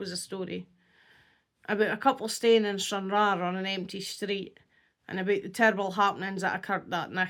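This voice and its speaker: A woman in a North East Scottish accent at a moderate pace, very clean recording with a silent background. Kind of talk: horror story reading.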